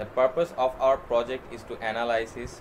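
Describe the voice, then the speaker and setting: You can hear noticeable background noise throughout. Over it, a man is talking. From Bangladesh. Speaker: university student; presenter. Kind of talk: class project presentation. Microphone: webcam.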